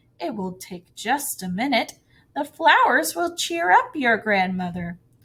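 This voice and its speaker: A woman's put-on character voice, fairly high in pitch, with very wide pitch swings at a fairly slow pace. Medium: read story. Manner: sly, coaxing.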